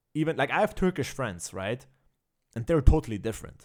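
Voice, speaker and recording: In a very clean recording with a silent background, a man speaks with an Austrian accent and lively intonation. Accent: imperfect Austrian dialect. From Austria, child of Armenian-Kurdish immigrants. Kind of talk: casual chat. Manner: hesitant, many fillers.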